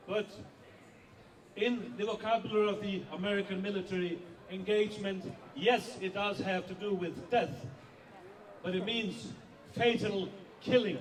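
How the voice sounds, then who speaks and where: Against noticeable background noise, a man with a high pitch and a non-native accent speaks at a moderate pace with ordinary pitch variation and long, frequent pauses. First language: not English. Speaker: editor-in-chief of a whistleblowing organisation. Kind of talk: rally speech.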